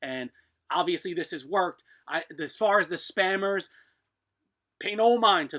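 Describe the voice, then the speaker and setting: A man's raised, projected voice, high in pitch and bright and sharp in tone, with lively intonation, big swings in loudness and long, frequent pauses. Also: moderate pace, very clean recording, silent background. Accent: eastern US. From US East. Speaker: blacksmith. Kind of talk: live stream chat. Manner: casual, rambling with fillers.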